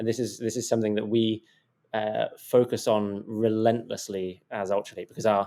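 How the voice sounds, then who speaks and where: In a British accent, the voice moves at a moderate pace with a dark, mellow tone and flat, monotone intonation. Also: man, fairly low pitch for a man. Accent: fairly central British. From southern England, home counties. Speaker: tech company CEO. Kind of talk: podcast interview. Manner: hesitant, many fillers and repeats.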